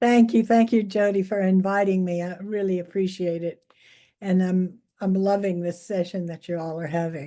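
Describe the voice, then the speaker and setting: In an American accent, a woman speaks at a moderate pace and medium pitch, her tone dark and mellow and her intonation fairly even. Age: 80s+. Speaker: feminist scholar and author. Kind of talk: guest talk in online gathering. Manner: halting, many fillers.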